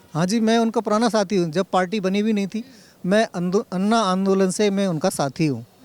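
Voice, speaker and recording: A man speaks at a moderate pace with a high pitch, ordinary pitch variation and very even loudness, in a very clean recording with a silent background. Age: 60s. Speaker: political party worker and lookalike. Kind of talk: street interview.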